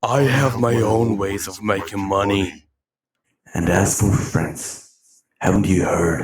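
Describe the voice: Raspy and fairly low, a man's put-on character voice is heard. The pace stays fairly slow.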